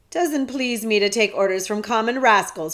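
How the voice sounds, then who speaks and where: A woman uses a put-on character voice with a fairly high pitch. Her pace is moderate. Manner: cold, disdainful.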